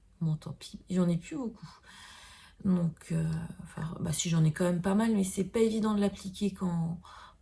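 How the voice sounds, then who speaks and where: Somewhat breathy and dark, mellow in tone, a woman speaks fairly slowly at a fairly low pitch with fairly even intonation. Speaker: beauty vlogger. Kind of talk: makeup tutorial. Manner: hesitant, many fillers.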